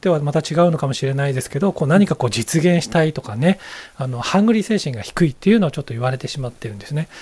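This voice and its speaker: At a very fast pace, a man with a somewhat breathy, fairly high voice speaks with lively intonation. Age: 50s. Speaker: business consultant and executive coach. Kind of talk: interview.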